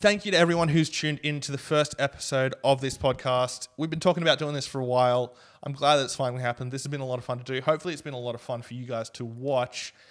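This man talks at a very fast pace with an Australian accent. His pitch is medium and his intonation fairly even. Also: big swings in loudness. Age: 20s. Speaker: podcast co-host. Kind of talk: casual chat.

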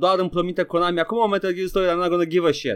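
This man's voice sits high in pitch. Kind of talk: mock pitchman patter, comedic skit. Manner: animated, theatrical, old-time huckster tone.

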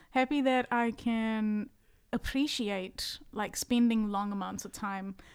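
A woman's fairly high voice at a very slow pace, with fairly even intonation, on a very clean recording with a silent background. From South Africa. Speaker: singer-songwriter. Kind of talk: casual chat. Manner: soft-spoken.

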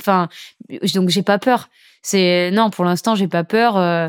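A woman with a plain, everyday voice and fairly even intonation speaks at a moderate pace in a very clean, dry, close recording with a silent background and no echo. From Saint-Martin (Caribbean). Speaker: professional surfer. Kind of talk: casual interview. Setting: recorded at guest's home. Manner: casual, slangy.

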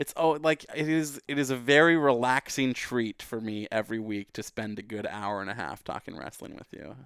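At a moderate pace and with hardly any pauses, a man speaks at a medium pitch with lively intonation and big swings in loudness, in a dry, close sound with no echo. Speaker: wrestling podcast host. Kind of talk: casual chat. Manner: conversational, not announcer-like.

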